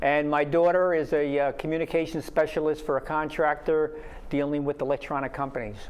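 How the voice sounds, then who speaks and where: Fairly quick, fairly high-pitched male speech in a New York accent, monotone and flat. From New York City (Brooklyn). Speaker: retired army officer, retirement community resident. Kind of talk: interview. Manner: halting.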